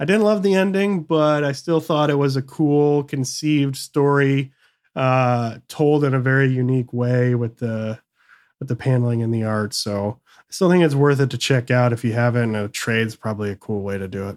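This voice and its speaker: With an American accent, a man talks at a moderate pace and medium pitch, showing ordinary pitch variation and big swings in loudness. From Michigan. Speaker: comic book podcast co-host. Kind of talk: casual chat. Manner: animated.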